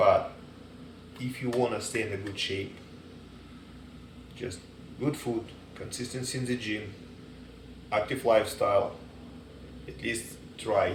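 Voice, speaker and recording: A speaker with a non-native accent talks at a fairly slow pace, with long, frequent pauses. The room echo is audible. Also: man. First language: not English. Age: 30s. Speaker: dog trainer and fitness enthusiast. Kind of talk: casual advice monologue. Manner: casual, halting with fillers.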